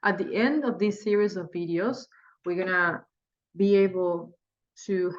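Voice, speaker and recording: A woman with a Spanish accent at a fairly slow pace. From Spanish-speaking country. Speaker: day trader and trading teacher. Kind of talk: tutorial. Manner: halting.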